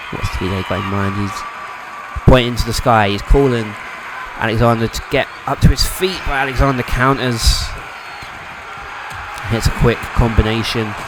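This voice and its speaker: Music plays behind a man speaking at a moderate pace and medium pitch with ordinary pitch variation. He takes long, frequent pauses. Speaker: wrestling commentator. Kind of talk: play-by-play sports commentary.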